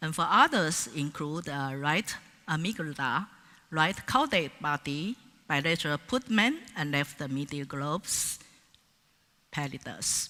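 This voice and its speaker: A woman with a very deep, low voice speaks at a fairly slow pace with lively intonation. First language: Mandarin Chinese. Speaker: professor. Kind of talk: conference keynote lecture. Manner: halting, with many fillers.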